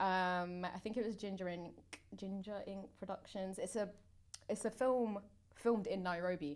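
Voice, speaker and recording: A woman with a Mancunian accent and fairly even intonation. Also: medium pitch for a woman, moderate pace. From Manchester, northwest England. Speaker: actor. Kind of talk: casual chat.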